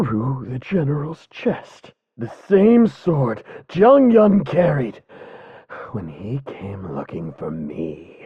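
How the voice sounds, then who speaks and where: Someone speaks in a put-on character voice at a low-to-middle pitch and a very slow pace. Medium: video game. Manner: harsh, angry.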